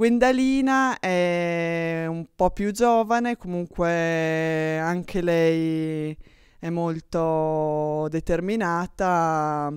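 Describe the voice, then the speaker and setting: Against a quiet background, a woman with a fairly low pitch talks with ordinary pitch variation in a dry sound with no echo. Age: 20s. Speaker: archer; interviewee. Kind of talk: interview. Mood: friendly, smiling. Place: gym. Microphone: handheld.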